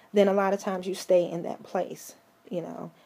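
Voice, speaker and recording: Her voice shaky, a woman speaks at a moderate pace in a medium pitch. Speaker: vlogger and mental health advocate. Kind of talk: casual commentary vlog. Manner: halting, many fillers and repeats.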